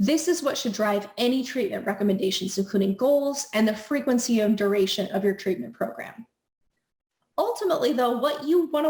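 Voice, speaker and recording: With an American accent, a woman talks at a moderate pace in a fairly high voice with lively intonation. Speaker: speech therapist. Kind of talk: educational explainer.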